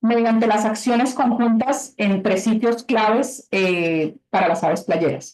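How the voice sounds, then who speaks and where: Fairly high pitch from a woman, with ordinary pitch variation and an unremarkable speaking voice. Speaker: webinar presenter for conservation grants. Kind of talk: webinar presentation. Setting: video call.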